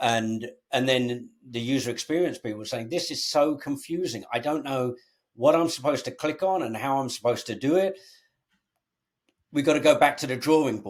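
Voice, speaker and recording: Recorded very cleanly against a silent background, a man with a fairly high pitch talks at a moderate pace with ordinary pitch variation. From England. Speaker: tech company founder and CEO. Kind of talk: interview conversation.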